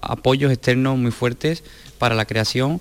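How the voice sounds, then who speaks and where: Over noticeable background noise, a man talks at a fairly quick pace. His pitch is medium and his intonation fairly even. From Sanlúcar de Barrameda, Cádiz. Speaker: dancer and choreographer. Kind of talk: interview.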